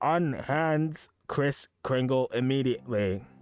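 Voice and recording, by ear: Putting on a robotic character voice, a man speaks fairly slowly at medium pitch.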